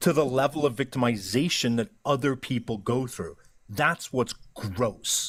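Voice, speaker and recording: A man speaks at a fairly slow pace in a medium pitch, somewhat breathy, with ordinary pitch variation. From Ireland. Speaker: live stream discussion participant. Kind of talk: casual debate in live stream. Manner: animated.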